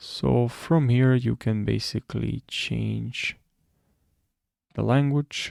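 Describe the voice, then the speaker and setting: On a very clean recording with a silent background, a man speaks at a very slow pace with long, frequent pauses. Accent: Romanian. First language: Romanian. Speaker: tutorial creator. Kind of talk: tutorial. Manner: halting, with fillers.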